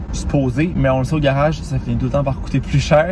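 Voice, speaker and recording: Noticeable background noise and audible room echo surround a man who speaks at a very fast pace. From Quebec, Gaspésie. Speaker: vlogger. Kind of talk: casual vlog talk.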